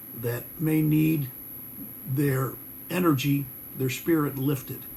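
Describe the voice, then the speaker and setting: With an American accent, a man talks at a fairly slow pace in a fairly high pitch, his somewhat breathy voice carrying a dark, mellow tone. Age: 60s. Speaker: guitar maker and musician. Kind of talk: casual video message.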